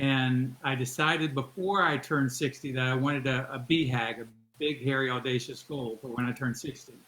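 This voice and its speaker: Here a man with a normal speaking voice talks at a fairly quick pace, using a medium pitch and fairly even intonation. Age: 60s. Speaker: endurance athlete. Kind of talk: interview.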